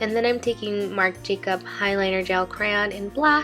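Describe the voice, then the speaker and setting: Music plays in the background as a woman speaks at a fairly slow pace with fairly even intonation. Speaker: makeup artist, beauty vlogger. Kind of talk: makeup tutorial voiceover. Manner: casual, chatty.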